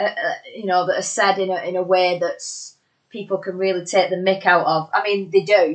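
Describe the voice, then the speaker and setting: The woman's intonation is monotone and flat, and her pace is moderate. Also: medium pitch for a woman. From Bolton, northern England. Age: 30s. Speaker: musician and wrestling ring announcer. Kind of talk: casual interview chat. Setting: socially distanced in-person recording.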